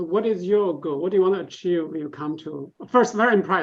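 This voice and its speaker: The speaker rushes along at a very fast pace with a non-native accent. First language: not English. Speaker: pitch event judge. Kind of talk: Q&A after startup pitch.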